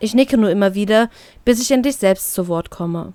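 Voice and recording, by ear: The woman's voice sits at a medium pitch with a dark, mellow tone. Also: ordinary pitch variation, moderate pace.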